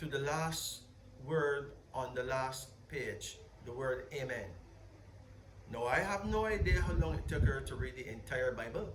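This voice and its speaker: A man is speaking here. Noticeable background noise and audible room echo surround his voice. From Barbados. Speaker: spiritual leader. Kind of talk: interview. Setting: at a palace in Jamaica.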